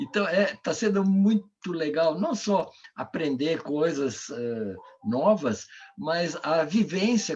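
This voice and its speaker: A man talks at a very slow pace with a high pitch and very wide pitch swings. Noticeable background noise runs under his voice. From Brazil. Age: 70s. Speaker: coach and author. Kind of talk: online talk Q&A.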